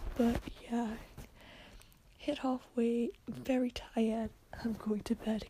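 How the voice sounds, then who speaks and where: The speech moves at a very slow pace with fairly even intonation and long, frequent pauses. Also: woman. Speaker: podcast host and writer. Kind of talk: audio diary. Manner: casual, rambling.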